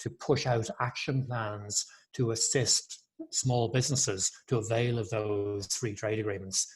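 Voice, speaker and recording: A somewhat breathy man at medium pitch with an Irish accent, at a moderate pace. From Ireland. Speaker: chamber of commerce executive. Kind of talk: webinar panel talk.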